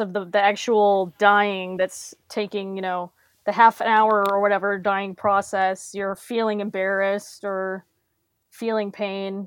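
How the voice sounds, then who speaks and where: Against a quiet background, a woman with a normal speaking voice talks at a fairly slow pace and medium pitch. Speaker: podcast guest. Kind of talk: casual chat.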